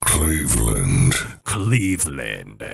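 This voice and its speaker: A man performs a put-on character voice. It is very deep and low, with very wide pitch swings. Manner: announcer-like, dramatic.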